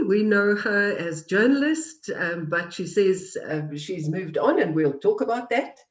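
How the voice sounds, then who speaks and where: The delivery is fairly slow yet has hardly any pauses. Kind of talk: interview host.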